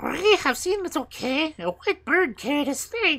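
Doing a put-on character voice, a woman speaks at a fairly slow pace and a high pitch, her fairly bright tone moving through big pitch swings.

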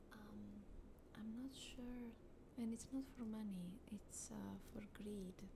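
Someone talks at a very slow pace with noticeable background noise. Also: woman. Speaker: ASMR creator. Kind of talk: casual chat. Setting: home, ASMR microphone. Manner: hesitant, filler-heavy. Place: home room. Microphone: studio mic.

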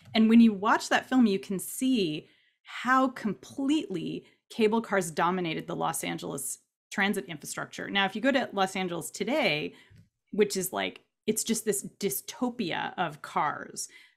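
Against a quiet background, a woman with an American accent speaks at a moderate pace and medium pitch, with lively intonation and vocal fry. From Southern California. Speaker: novelist; panelist. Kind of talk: panel discussion. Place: home room. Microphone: webcam.

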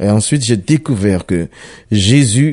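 Over a quiet background, a man speaks at a very slow pace with lively intonation. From Ivory Coast. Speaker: pastor. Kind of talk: testimony.

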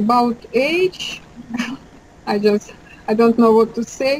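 Speaking at a very slow pace with an ordinary pitch variation, a woman in a Russian accent is heard over light background noise. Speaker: dating site interviewee. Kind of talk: interview answer. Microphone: video call.

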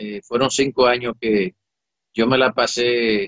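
A man's monotone, flat delivery against a quiet background, the sound dry with no echo. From Dominican Republic. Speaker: air force commander. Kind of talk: interview. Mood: reflective, emotional personal memories. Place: office. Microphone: webcam.

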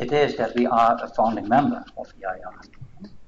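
A man speaks at a fairly slow pace with a Dutch accent. Light background noise can be heard. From Netherlands. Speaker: assessment institute director; presenter. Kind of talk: presentation. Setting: seminar room with online audience. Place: meeting room.

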